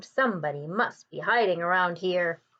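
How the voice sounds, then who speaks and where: Using a put-on character voice, a woman speaks with a raspy sound at a moderate pace. Her pitch is medium, with ordinary variation. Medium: read story.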